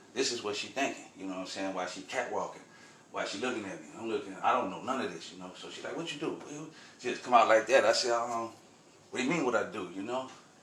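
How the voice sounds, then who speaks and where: A man with an American accent talks very fast in an animated tone, using lively intonation at a medium pitch. Audible room echo and noticeable background noise surround him. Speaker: spiritual storyteller vlogger. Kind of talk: casual storytelling monologue.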